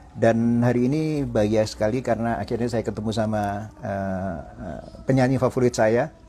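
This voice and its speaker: A man's medium-pitched voice at a moderate pace, with ordinary pitch variation, hardly any pauses and noticeable background noise. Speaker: interviewer, music journalist. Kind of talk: interview questions.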